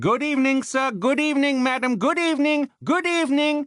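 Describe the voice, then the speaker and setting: A man does a nasal put-on character voice at an extremely high pitch. He moves at a fairly quick pace. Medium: read story. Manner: rapid, sing-song, effusive chatter.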